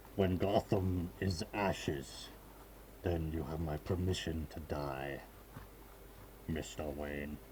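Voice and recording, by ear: Over clear background noise, a man puts on a menacing character voice with a very deep, low pitch, speaking fairly slowly with long, frequent pauses.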